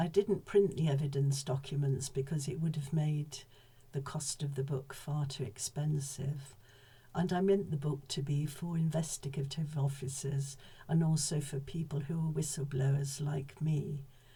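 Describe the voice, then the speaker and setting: A woman speaks in a very deep, low voice that is somewhat breathy. Her pace is moderate and her intonation fairly even. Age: 70s. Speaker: whistleblower, former mental health professional. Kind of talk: personal testimony.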